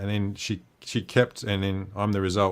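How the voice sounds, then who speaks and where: Speaking at a fairly slow pace with an Australian accent, the voice is captured in a very clean recording with a silent background. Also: man. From Western Australia. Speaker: livestream host. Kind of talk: casual chat.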